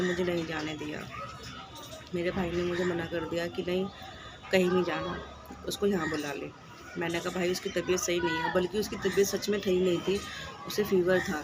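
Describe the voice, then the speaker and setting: A woman's fairly low, monotone, flat voice at a moderate pace, with audible room echo and music in the background. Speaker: vlogger. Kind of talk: casual vlog talk to camera.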